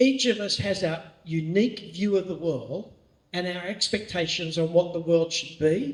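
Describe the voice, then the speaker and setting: Speaking fairly slowly, a man talks with an Australian accent. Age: 60s. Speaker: pastor. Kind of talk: training talk.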